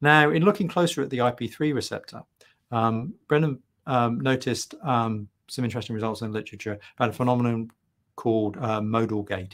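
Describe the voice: A man talks at a fairly quick pace, his pitch medium. His intonation stays fairly even.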